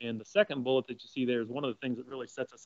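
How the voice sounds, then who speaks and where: Faint music plays behind a monotone, flat delivery. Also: man, dry sound with no echo. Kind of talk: webinar presentation.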